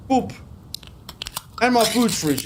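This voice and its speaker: A man's high-pitched voice, with ordinary pitch variation, carries through audible room echo and noticeable background noise. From South Africa. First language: Afrikaans. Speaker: video game streamer. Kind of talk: live gameplay stream commentary. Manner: animated.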